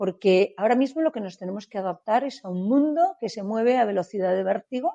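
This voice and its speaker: A woman's medium-pitched voice with a dark, mellow tone, lively intonation and a fairly quick pace. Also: dry, close sound with no echo. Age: 60s. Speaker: startup event organizer, business leader. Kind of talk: interview.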